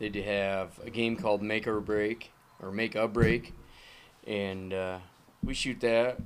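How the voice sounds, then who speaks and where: Speaking with an American accent, a man has a normal speaking voice at a fairly low pitch and with fairly even intonation. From Minnesota. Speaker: clay shooter and father. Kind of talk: casual chat. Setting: garage.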